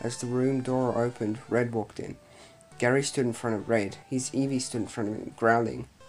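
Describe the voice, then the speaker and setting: Over music in the background, a man talks in a monotone, flat intonation at a medium pitch. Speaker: creepypasta reader. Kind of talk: read horror story narration.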